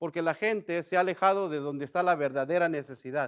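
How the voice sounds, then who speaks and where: Over a quiet background with a dry, close sound and no echo, a man talks at a fairly quick pace with a high pitch and ordinary pitch variation. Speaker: bible study teacher. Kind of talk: bible study class. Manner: conversational, many filler words.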